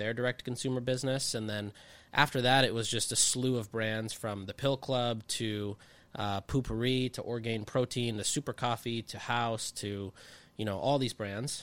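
With an unremarkable speaking voice, a man speaks at a medium pitch and moderate pace with fairly even intonation, in a very clean recording with a silent background. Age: 20s. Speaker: marketing consultant. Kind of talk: casual chat. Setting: studio.

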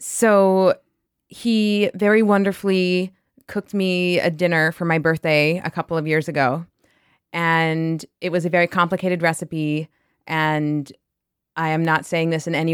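Speaking at a moderate pace in a New York accent, a woman keeps a fairly low pitch and fairly even intonation, with a very clean, dry, close sound, no echo and a silent background. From New York area. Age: 30s. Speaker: litigant in comedic dispute. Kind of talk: casual testimony.

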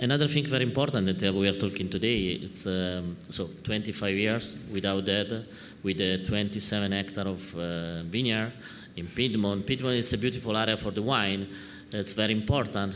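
A man's fairly low voice with an Italian accent. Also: ordinary pitch variation, moderate pace. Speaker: wine importer moderating a talk. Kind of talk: live talk-tasting conversation. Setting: stage with audience at a wine fair.

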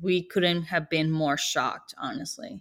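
A woman with a Spanish accent speaks in a fairly low pitch with ordinary pitch variation. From Mexico (Sonora). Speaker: tortilla maker and business owner. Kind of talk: interview.

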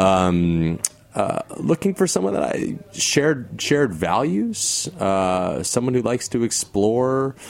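The pace is very slow, with very wide pitch swings. Noticeable background noise is present. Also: man, fairly low pitch for a man. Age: 30s. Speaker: stage actor. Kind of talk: casual chat.

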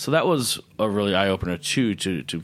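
Very clean with a silent background, the recording captures a man with an American accent speaking at a very deep, low pitch. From US Midwest, Chicago northwest suburbs. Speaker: chef and restaurant owner. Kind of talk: interview.

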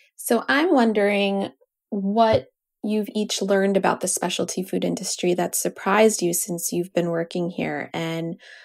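A plain, everyday voice from a woman at medium pitch, fairly slow, with ordinary pitch variation in a very clean recording against a silent background. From New York, US. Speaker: podcast co-host. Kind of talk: casual chat.

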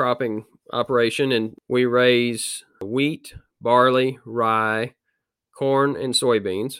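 Speaking at a very slow pace and medium pitch, a man with an American accent comes through in a very clean recording with a silent background. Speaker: farmer. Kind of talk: interview.

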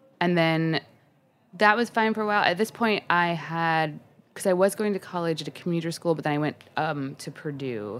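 In a very clean recording with a silent background, a woman with a fairly low pitch and an unremarkable speaking voice talks at a moderate pace with lively intonation. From Indiana, US Midwest. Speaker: hospitality worker and podcast co-host. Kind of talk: casual interview chat.

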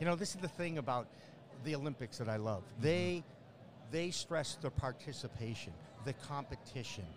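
A man with an American accent talks at a medium pitch and a fairly quick pace, animated in tone and lively in intonation, with vocal fry and long, frequent pauses. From Boston area, US. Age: 60s. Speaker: media host and producer, former sportscaster. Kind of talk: casual interview chat. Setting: trade show floor booth.

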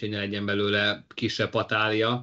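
At a moderate pace, a man speaks in a bright, sharp tone of medium pitch. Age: young. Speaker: motorsport podcast co-host. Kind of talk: casual chat.

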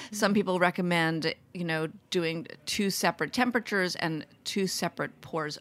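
A woman speaks in a normal speaking voice at a medium pitch and a moderate pace, with hardly any pauses. The recording is very clean, with a silent background. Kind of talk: casual chat. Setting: studio.

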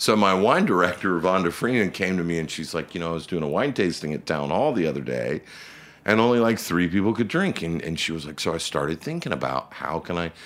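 A man with an American accent talks very fast in a very deep, low voice with vocal fry. His intonation is lively. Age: 50s. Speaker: restaurant group managing partner. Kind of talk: interview.

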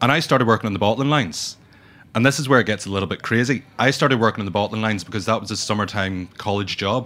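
A man with a Northern Irish accent, fairly low in pitch with ordinary variation, bright and sharp in tone, at a very fast pace. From Northern Ireland. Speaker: brand ambassador and whiskey educator. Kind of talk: casual interview chat. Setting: studio.

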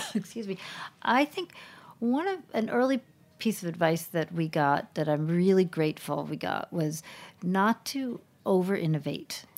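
A woman with a plain, everyday voice speaks at medium pitch and a moderate pace, with lively intonation. The recording is very clean, with a silent background. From US, Boston then Boulder, Colorado. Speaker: food brand founder. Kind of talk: interview.

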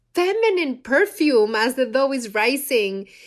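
The speaker has a Spanish accent and an animated tone. The pace is fairly slow. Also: woman. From Mexico City. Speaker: chef and cookbook author. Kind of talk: casual chat.

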